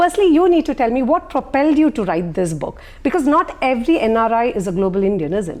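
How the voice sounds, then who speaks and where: Amid noticeable background noise, a loud woman with a high pitch talks at a fairly quick pace with very wide pitch swings. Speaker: journalist moderating fireside chat. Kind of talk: fireside chat interview. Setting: stage with audience at book launch.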